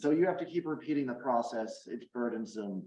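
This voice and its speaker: Audible room echo surrounds a man talking with ordinary pitch variation. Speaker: addiction researcher, professor. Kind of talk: lecture.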